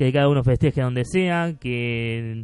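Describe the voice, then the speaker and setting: This man has an ordinary speaking voice, a medium pitch, and ordinary pitch variation. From Argentina. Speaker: podcast host. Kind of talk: casual solo monologue.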